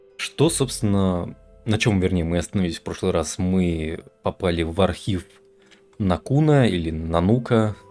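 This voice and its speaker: Over music in the background, a man with a very deep, low pitch speaks at a fairly slow pace, with ordinary pitch variation and very even loudness. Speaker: video game streamer. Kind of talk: let's play commentary. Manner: casual, hesitant with fillers.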